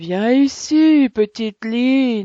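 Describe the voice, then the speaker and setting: Using a put-on character voice, a woman speaks very slowly at a fairly high pitch. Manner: commanding.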